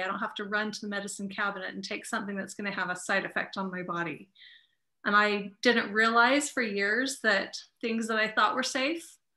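Against a quiet background, a woman speaks at a fairly quick pace in a bright, sharp tone. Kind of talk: personal testimonial. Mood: warm, grateful, smiling. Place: home room. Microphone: video call.

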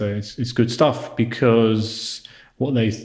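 A man with a British accent sounds somewhat breathy, and his intonation stays fairly even. The background is quiet, though room echo is audible. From United Kingdom. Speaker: history video maker. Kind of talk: podcast interview answer. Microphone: lapel.

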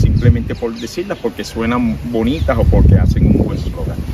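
Loud background noise sits behind a man's voice. The sound is dry with no echo, and his pace is moderate. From Puerto Rico, Guánica area. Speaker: political candidate. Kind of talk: interview. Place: street. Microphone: handheld.

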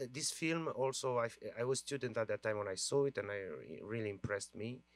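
A man with a Romanian accent speaks at a moderate pace. The sound is dry with no echo, and faint music plays in the background. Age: 40s. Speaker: film director; guest. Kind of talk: Q&A discussion. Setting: stage with audience. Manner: halting. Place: stage. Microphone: handheld.

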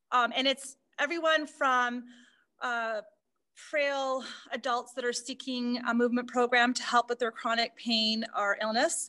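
A woman's high-pitched voice at a fairly slow pace, with fairly even intonation and a quiet background. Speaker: aquatic fitness instructor. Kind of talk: interview answer. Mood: friendly, smiling. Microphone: video call.

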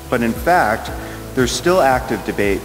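A man is the one talking. Music plays clearly in the background. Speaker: conference speaker. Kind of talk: lecture. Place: hall. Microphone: podium.

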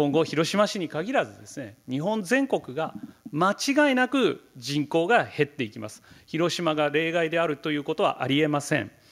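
At a moderate pace, a man talks with a fairly high pitch, very wide pitch swings and big swings in loudness. The background is quiet. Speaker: professor of geography; keynote lecturer. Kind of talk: keynote lecture. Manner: halting, many fillers; serious, somewhat stiff. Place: hall.

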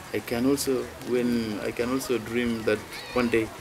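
A man speaks at a fairly slow pace in a medium pitch, his intonation monotone and flat, with noticeable background noise behind him. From South Sudan. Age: 20s. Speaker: refugee footballer and youth leader. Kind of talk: interview answer. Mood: proud, hopeful. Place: open country.

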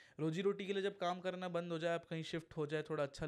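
Fairly quick speech from a man, with fairly even intonation. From India. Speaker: podcast host. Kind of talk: casual interview. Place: studio. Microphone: studio mic.

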